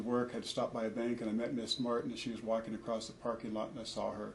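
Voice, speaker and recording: With an American accent and medium pitch, a man speaks in a monotone, flat intonation amid audible room echo and noticeable background noise. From US Pacific Northwest (Portland, Oregon). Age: 60s. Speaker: parent testifying in family court. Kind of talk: court testimony. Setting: courtroom. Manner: halting, many fillers.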